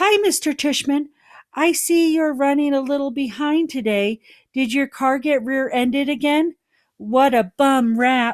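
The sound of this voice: This man uses a put-on character voice. His pitch is extremely high. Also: moderate pace, very clean recording, silent background.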